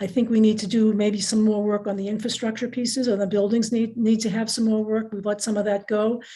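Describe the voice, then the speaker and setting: With hardly any pauses, a woman talks at a fairly quick pace in a fairly high pitch, her monotone, flat delivery dark, mellow and somewhat breathy. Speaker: school committee member and candidate. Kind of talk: candidate forum answers. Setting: video call. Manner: fast; halting, with many restarts.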